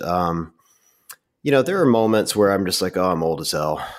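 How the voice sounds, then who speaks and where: A man speaks in an ordinary speaking voice, fairly low in pitch, with lively intonation and a fairly quick pace. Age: 40s. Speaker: meme creator and podcast host. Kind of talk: casual chat.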